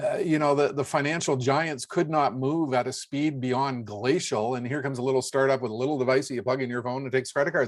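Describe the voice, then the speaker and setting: The speech races along at a very fast pace. There are hardly any pauses. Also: man, medium pitch for a man. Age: 60s. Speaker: futurist and trend speaker. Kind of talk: interview. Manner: animated.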